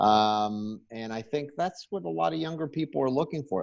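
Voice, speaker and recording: A man with an American accent has an ordinary speaking voice pitched fairly low. He talks at a moderate pace with ordinary pitch variation. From Pittsburgh, US. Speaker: company executive. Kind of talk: interview.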